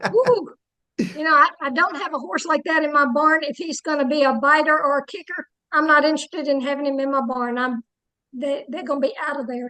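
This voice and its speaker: A woman speaks at a fairly quick pace in a raised, projected voice. Her tone is bright and sharp, her pitch high, with ordinary pitch variation. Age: 70s. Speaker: jiu-jitsu competitor. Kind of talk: interview answer.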